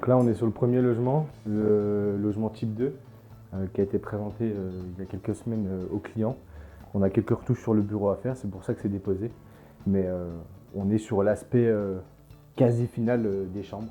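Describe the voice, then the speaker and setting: Fairly low male speech at a moderate pace, fairly even in intonation, with long, frequent pauses and background music. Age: 20s. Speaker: construction management student. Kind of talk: interview with site tour. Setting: construction site. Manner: hesitant, many fillers.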